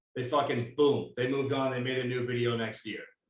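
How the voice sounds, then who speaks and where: Over audible room echo, a man talks at a fairly quick pace with monotone, flat intonation. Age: 40s. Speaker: podcast host. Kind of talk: casual chat.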